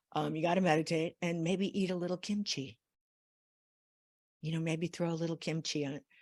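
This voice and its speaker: Pausing long and often, a woman speaks at a fairly low pitch with fairly even intonation, in a dry, close sound with no echo on a very clean recording with a silent background. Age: 60s. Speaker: workshop host. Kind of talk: casual chat. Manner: halting.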